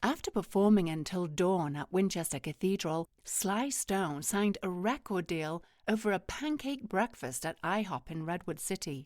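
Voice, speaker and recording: In a very clean recording with a silent background, a woman with a normal speaking voice talks at a moderate pace and medium pitch, her intonation lively. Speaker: voice-over artist. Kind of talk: museum audio guide narration.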